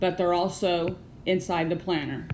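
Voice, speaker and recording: In an American accent, a woman talks at a moderate pace and medium pitch. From California. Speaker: small business owner. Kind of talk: screen-recorded tutorial.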